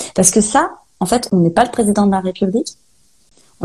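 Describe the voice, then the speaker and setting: Speech comes at a fairly quick clip. The tone is dark and mellow, with some breathiness. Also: woman. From Brittany, Saint-Malo. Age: 30s. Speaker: holistic guide and medium. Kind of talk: interview. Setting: Instagram live video call.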